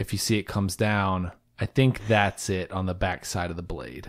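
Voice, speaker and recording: Captured in a very clean recording with a silent background, a man talks in a plain, everyday voice, fairly low-pitched, at a moderate pace with ordinary pitch variation. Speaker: podcaster. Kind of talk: casual chat. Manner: excitable.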